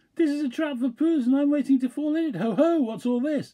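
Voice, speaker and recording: Squeaky and high-pitched, this put-on character voice moves at a fairly quick pace. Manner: very fast, rattled.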